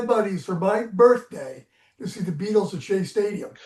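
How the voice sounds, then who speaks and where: A man with an American accent speaks at a high pitch. His pace is moderate and his intonation fairly even. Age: 70s. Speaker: music journalist. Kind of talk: interview storytelling.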